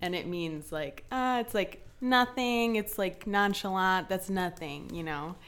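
Fairly slow, medium-pitched speech from a woman, an ordinary speaking voice with ordinary pitch variation. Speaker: intern. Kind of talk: casual chat.

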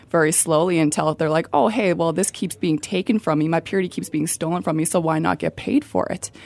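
A woman with very deep, low pitch and vocal fry at a very fast pace. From Calgary, Canada. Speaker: ministry outreach volunteer. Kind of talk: radio interview. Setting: radio studio.

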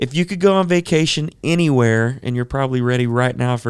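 A man speaks in a normal speaking voice at a fairly quick pace. His pitch is medium, with ordinary pitch variation. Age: 30s. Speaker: podcast host. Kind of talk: casual interview.

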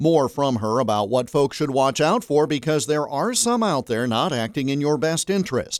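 At a moderate pace, a man speaks with lively intonation in an unremarkable speaking voice. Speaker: radio host. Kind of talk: interview.

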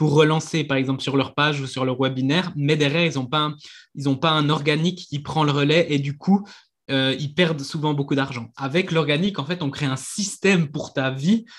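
Fairly even intonation and a moderate pace mark this somewhat breathy voice. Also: man, fairly high pitch for a man. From Switzerland. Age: 20s. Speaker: marketing coach. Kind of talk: interview.

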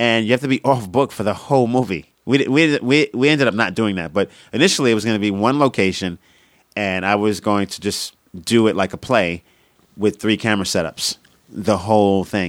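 A man with a Brooklyn accent and a fairly low pitch is captured in a dry, close sound with no echo on a very clean recording with a silent background. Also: ordinary pitch variation, fairly quick pace. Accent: New York (Brooklyn). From Coney Island, Brooklyn, New York. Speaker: stand-up comedian. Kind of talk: casual interview chat.

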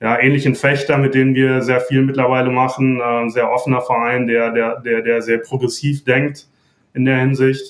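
A man talks at a moderate pace in a monotone, flat intonation with a medium pitch. His loudness stays very even throughout. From Germany, Sauerland. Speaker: mental performance coach. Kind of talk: interview.

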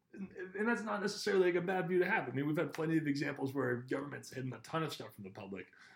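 Amid noticeable background noise, a man with an American accent speaks at a very fast pace and a fairly high pitch, his pitch swinging very widely. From Massachusetts South Shore (Scituate). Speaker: university student and local government worker. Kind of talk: casual interview.

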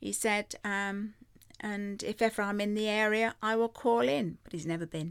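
A woman with an English Midlands accent and ordinary pitch variation, in a very clean recording with a silent background. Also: medium pitch for a woman, moderate pace. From Rugby, central England. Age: 70s. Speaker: host's grandmother, guest. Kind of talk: casual chat. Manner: good-humoured, laughs often.

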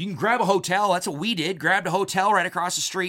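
The voice has a bright, sharp tone and moves at a very fast pace, on a very clean recording with a silent background. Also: man. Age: 50s. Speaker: hunting podcast host. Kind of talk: casual monologue. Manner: rambling, repetitive starts.

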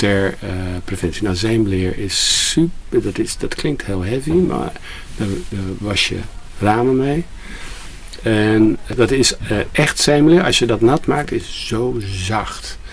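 A man's lively intonation at a very slow pace, with audible room echo and noticeable background noise. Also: medium pitch for a man. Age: 60s. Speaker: shop co-founder. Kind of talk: recorded interview.

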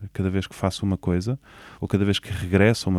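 A man with a very deep, low voice talks fairly quickly in a flat monotone, recorded dry and close with no echo, very clean, over a silent background. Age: 30s. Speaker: orchestra conductor. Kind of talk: interview conversation. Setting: recording room in a theatre.

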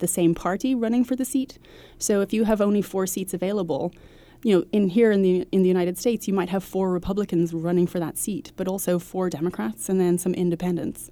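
A woman's very fast speech at a medium pitch in a Dublin accent, with a dark, mellow tone. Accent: Irish (Dublin). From Ireland, Dublin. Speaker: nonprofit head, former diplomat. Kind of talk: interview. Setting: studio.

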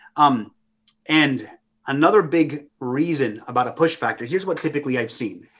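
A man's fairly high-pitched voice, a normal speaking voice at a moderate pace with ordinary pitch variation. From US (Romanian immigrant family). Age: 30s. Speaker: traveling minister. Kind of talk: casual chat.

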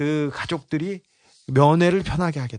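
A man speaks at a fairly high pitch and a moderate pace. The background is quiet. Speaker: investigative journalist. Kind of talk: casual chat.

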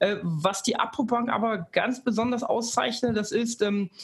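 A man with a high voice speaks at a moderate pace. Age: 30s. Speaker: bank data analytics head. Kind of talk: casual interview. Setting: Düsseldorf office.

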